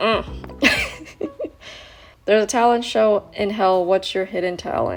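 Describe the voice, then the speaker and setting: A woman talks at a fairly slow pace with long, frequent pauses. Noticeable background noise is present. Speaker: YouTuber reacting to online quiz. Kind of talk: quiz read-along with casual commentary. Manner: casual and chatty.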